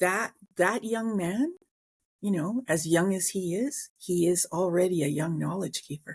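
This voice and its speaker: Somewhat breathy, a woman speaks at a fairly slow pace with medium pitch and ordinary pitch variation. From northwestern Ontario, Canada. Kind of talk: podcast interview answer.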